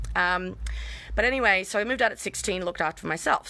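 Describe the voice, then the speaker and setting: Loud and very fast, a woman with an Australian accent speaks in a bright, sharp tone with vocal fry on a very clean recording with a silent background. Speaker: vlogger. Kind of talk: personal testimony live stream. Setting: outdoors in backyard.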